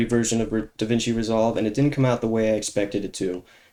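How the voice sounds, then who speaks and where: A man at a medium pitch speaks in a dark, mellow tone, recorded very cleanly with a silent background. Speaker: gaming YouTuber. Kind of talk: gameplay commentary. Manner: monotone; halting.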